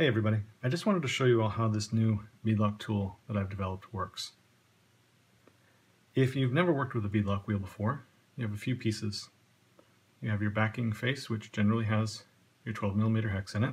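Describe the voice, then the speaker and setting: Speaking very fast, a man with a fairly low, somewhat breathy voice shows ordinary pitch variation. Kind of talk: tutorial.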